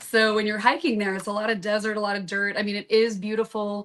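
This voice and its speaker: Speaking with a Southern US accent, a woman talks at a medium pitch and fairly quick pace in a monotone, flat intonation. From Southern Florida, born in Kentucky. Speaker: musician. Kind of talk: casual chat. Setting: live video podcast.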